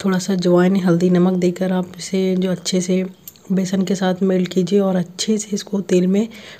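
Somewhat breathy, a woman speaks at a fairly slow pace in a monotone, flat intonation. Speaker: home cooking vlogger. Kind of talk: casual vlog chat. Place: kitchen. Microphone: phone near.

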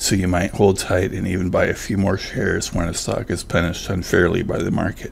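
Amid noticeable background noise, a man with a very deep, low voice speaks with hardly any pauses. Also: ordinary pitch variation, fairly quick pace. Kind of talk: finance talk to camera.

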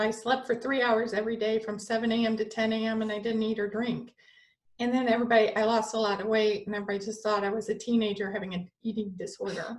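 Against a quiet background, a woman with a fairly high pitch speaks at a very fast pace in a monotone, flat intonation. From US Midwest, Michigan. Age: 40s. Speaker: spiritual channeler and energy healer. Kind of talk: casual interview chat. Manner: giggly. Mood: calm, personal storytelling. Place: home room. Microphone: video call.

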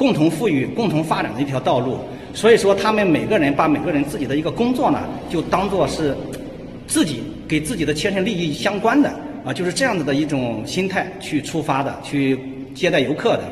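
Over light background noise and audible room echo, a man speaks at a fairly quick pace with lively intonation. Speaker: travel vlogger. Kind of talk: casual vlog chat. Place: hall. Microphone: phone near.

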